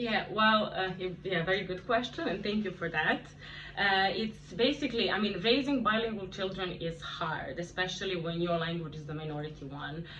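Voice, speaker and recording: With a Serbian accent, a woman talks at a moderate pace and medium pitch with ordinary pitch variation, amid noticeable background noise and audible room echo. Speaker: video blogger on bilingual parenting. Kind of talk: interview conversation.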